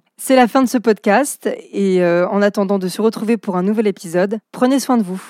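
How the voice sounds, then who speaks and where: In a very clean recording with a silent background and a dry, close sound with no echo, a woman speaks at a moderate pace in a medium-pitched voice with a dark, mellow tone and ordinary pitch variation. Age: 30s. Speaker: journalist and podcast host. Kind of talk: podcast interview.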